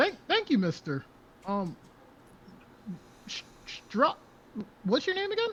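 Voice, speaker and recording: Using a put-on character voice, a man speaks fairly slowly at an extremely high pitch, with very wide pitch swings and long, frequent pauses. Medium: actual play. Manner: giggly.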